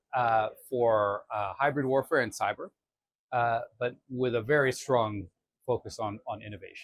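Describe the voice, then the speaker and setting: A man talks at a fairly slow pace in a medium pitch with ordinary pitch variation. His is an unremarkable speaking voice, heard dry and close with no echo. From Canada. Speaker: defense alliance official. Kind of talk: conversational interview. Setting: conference venue.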